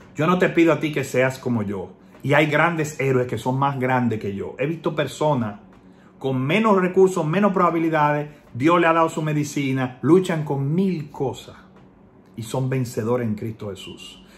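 Here a man speaks at a moderate pace with a fairly high pitch. The room echo is audible. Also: lively intonation. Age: 30s. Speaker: political commentator, online activist. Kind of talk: personal video message.

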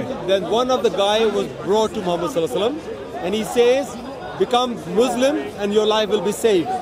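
A man talks at a fairly quick pace. Crowd noise sits in the background, and the sound is dry with no echo. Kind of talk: heated debate. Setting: outdoors. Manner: insistent. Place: open country.

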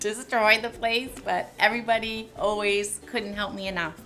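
Faint music plays in the background as the speaker talks at a moderate pace. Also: woman. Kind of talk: interview answer. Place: shop. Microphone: lapel.

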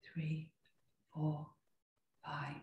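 There is audible room echo around a woman whose very deep, low pitch comes with a dark, mellow tone and a somewhat breathy quality. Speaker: yoga and meditation teacher; meditation teacher. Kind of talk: guided meditation. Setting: video call. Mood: calm, slow. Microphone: video call.

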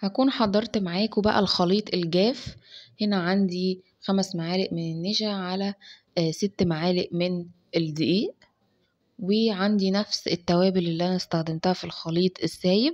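Delivery comes at a fairly slow pace. The intonation holds fairly even. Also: woman, quiet background. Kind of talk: cooking tutorial. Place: kitchen. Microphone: phone near.

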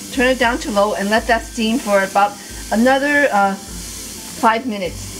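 A woman talks with ordinary pitch variation. Light background noise sits behind her. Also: moderate pace. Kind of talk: tutorial. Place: kitchen.

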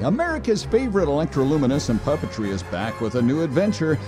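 A man's pitch leaps up and down very widely as he talks fairly quickly, with music playing behind him. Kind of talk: TV commercial read.

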